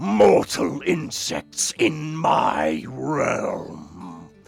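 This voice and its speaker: A raspy, put-on character voice comes through over music in the background. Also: man, medium pitch for a man. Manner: imposing, commanding.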